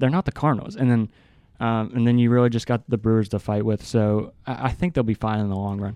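A man speaks very fast with a slight West Virginia accent, his tone dark and mellow with ordinary pitch variation. The sound is dry and close with no echo, over a quiet background. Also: medium pitch for a man. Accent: slight West Virginia twang. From West Virginia, Hurricane. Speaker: student podcast co-host. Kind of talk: casual sports chat. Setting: studio.

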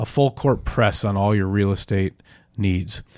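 Over a silent background in a very clean recording, a man with an American accent speaks with ordinary pitch variation. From Minnesota (Edina). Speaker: sports editor and podcast moderator. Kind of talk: casual chat.

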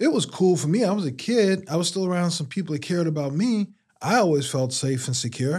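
A man with an American accent talks at a very fast pace in a high pitch, his intonation lively. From Washington DC (Southeast). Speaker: university lecturer and open mic host. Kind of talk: casual interview. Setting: studio.

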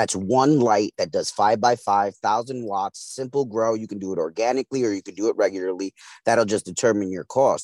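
In a plain, everyday voice, a man with an American accent speaks at a fairly quick pace with hardly any pauses, medium pitch and fairly even intonation, in a dry, close sound with no echo and a quiet background. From East New York, Brooklyn. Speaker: radio co-host and hemp farmer. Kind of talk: casual chat.

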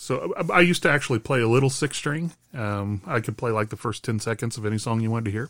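A man with a medium pitch talks at a very fast pace with ordinary pitch variation. The recording is very clean, with a silent background. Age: 50s. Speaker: podcast co-host, parent of the other host. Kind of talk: casual chat.

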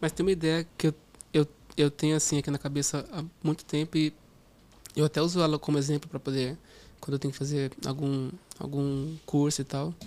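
A man with a fairly high pitch and a dark, mellow tone talks in monotone, flat intonation. His pace is fairly quick, broken by long, frequent pauses. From Brazil, interior of São Paulo state. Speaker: product manager. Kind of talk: casual interview. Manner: halting, with many repetitions.

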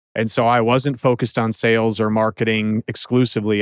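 Fairly low-pitched man with an American accent at a fairly quick pace, in a very clean recording with a silent background and a dry, close sound with no echo. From Minnesota. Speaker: IT services company owner. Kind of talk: interview. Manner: direct.

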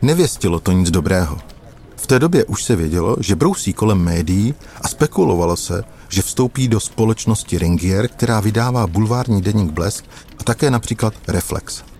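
A man talks at a moderate pace with a fairly low pitch and lively intonation. Noticeable background noise runs underneath. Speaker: investigative journalist. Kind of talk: storytelling narration.

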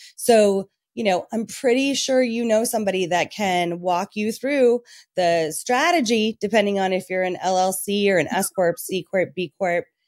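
A woman with a plain, everyday voice and medium pitch speaks at a moderate pace in a very clean recording with a silent background. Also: ordinary pitch variation, dry, close sound with no echo. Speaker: business owner and CEO. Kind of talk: casual interview chat.

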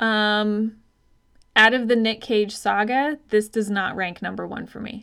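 Speaking fairly slowly in a General American accent, a woman with an unremarkable speaking voice and fairly high pitch keeps her intonation fairly even while her loudness swings widely, in a very clean recording with a silent background. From Arizona. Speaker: podcast co-host, health coach. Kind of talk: casual chat.

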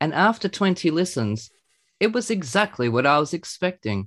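With an Australian accent and very wide pitch swings, a man speaks at a moderate pace against a quiet background. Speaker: podcast host. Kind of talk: scripted review reading; casual chat. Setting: remote call.

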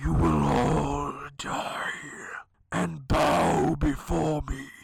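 Using a put-on character voice, a man speaks very slowly in a very deep, low pitch that sounds raspy. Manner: menacing, whispering.

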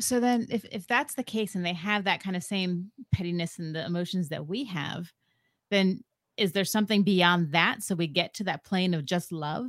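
In a very clean recording with a silent background, a woman talks at a moderate pace. Hers is a plain, everyday voice of medium pitch with ordinary pitch variation. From US, partly raised in Ecuador. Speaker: podcast co-host, guest. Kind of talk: casual interview.

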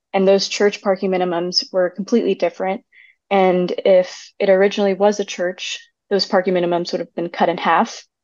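An American-accented woman with an unremarkable speaking voice, medium pitch, fairly even intonation and a fairly quick pace. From Texas, suburban. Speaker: urban planner. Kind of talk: casual chat.

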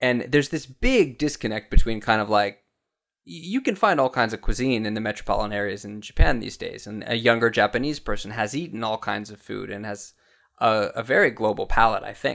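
In a very clean recording with a silent background, a man with an unremarkable speaking voice and an American accent shows ordinary pitch variation and big swings in loudness. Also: medium pitch for a man, fairly quick pace. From US South, Florida. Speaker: TV cooking presenter. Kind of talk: casual chat; tutorial.

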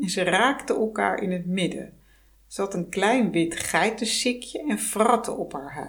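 A natural voice reads aloud. Its pitch shifts in an ordinary manner.

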